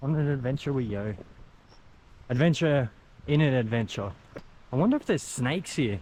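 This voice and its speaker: With an Australian accent, a man at medium pitch speaks fairly quickly with lively intonation, broken by long, frequent pauses. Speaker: travel vlogger. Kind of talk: casual vlog narration. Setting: outdoors. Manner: animated.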